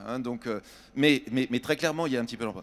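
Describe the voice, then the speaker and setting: The speaker is a man. His pitch is medium. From France, Châtellerault. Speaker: building industry executive. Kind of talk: panel discussion. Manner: halting.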